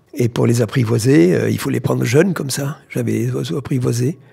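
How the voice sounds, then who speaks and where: Vocal fry runs through a man's medium-pitched voice as he speaks at a moderate pace. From southern France, Tarn. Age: 70s. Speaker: explorer and doctor. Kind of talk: interview. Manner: halting.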